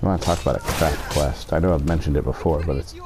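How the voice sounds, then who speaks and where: Noticeable background noise runs throughout. A man speaks fairly quickly over it. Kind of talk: casual talk to camera, gaming commentary. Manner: whispered, deep.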